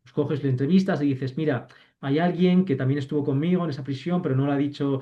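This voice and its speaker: At a fairly quick pace, a man speaks in a somewhat breathy, fairly high voice. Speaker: university lecturer. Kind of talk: online lecture. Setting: video call. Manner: fast.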